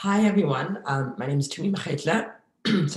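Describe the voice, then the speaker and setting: A man's put-on character voice, raspy and high-pitched, with lively intonation at a moderate pace. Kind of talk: polite, professional introduction.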